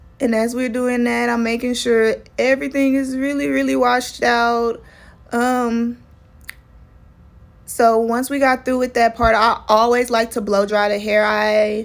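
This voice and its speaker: A woman speaks with a Texan accent at a fairly high pitch. Her pace is fairly slow and her intonation fairly even. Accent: Texas country. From Texas. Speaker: loctician. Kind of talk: tutorial voiceover. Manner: casual.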